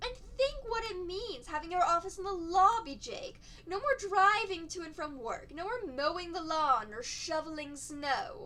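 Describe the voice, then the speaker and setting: Against clear background noise, a whiny put-on character voice makes big swings in loudness and very wide pitch swings. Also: woman, extremely high pitch for a woman, moderate pace. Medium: read story. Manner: whining coo.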